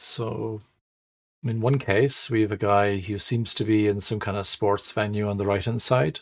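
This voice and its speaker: A fairly low-pitched man with an Irish accent, at a moderate pace with fairly even intonation. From Ireland. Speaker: agile trainer and management speaker. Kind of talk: webinar presentation. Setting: online webinar. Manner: hesitant, many fillers.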